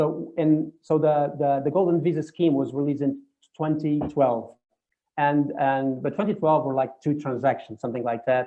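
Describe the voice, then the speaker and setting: The man speaks with a Portuguese accent and a fairly high pitch. His intonation stays fairly even. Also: moderate pace. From Portugal. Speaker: property finder. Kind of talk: webinar Q&A. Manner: halting, many repetitions.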